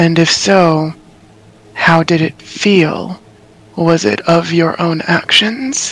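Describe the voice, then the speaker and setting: In a put-on character voice, a man talks at a very slow pace with a high pitch. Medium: actual play. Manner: measured, inquisitive.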